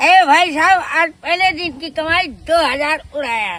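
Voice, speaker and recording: A woman's strained, put-on character voice at an extremely high pitch and a moderate pace. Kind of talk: Hindi. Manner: strained, squeezed-throat drama voice.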